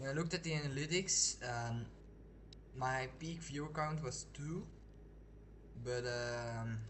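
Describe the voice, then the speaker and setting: Speaking at a fairly slow pace, a man with a medium pitch leaves long, frequent pauses. His pitch varies in an ordinary way, and the room echo is audible. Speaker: video game streamer. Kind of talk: casual live gameplay commentary. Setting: live stream. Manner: halting, with pauses and restarts; slows down when not focusing.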